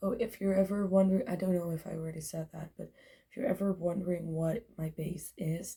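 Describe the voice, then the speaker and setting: A woman talks at a fairly quick pace in a fairly low voice with a dark, mellow tone. Her delivery is somewhat breathy, with ordinary pitch variation. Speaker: beauty vlogger. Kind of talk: makeup tutorial. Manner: casual, hesitant.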